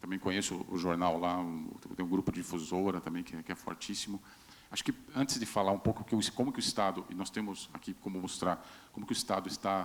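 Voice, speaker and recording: Speaking in a São Paulo interior accent, a man with a very deep, low pitch talks at a fairly quick pace with fairly even intonation. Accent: regional São Paulo interior accent, kept. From Brazil, Vale do Ribeira, São Paulo state. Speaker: state communications secretary. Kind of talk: panel discussion. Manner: halting, repeats words.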